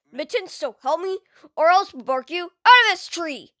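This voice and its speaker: This is a put-on character voice with an extremely high pitch. It moves at a moderate pace. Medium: dub.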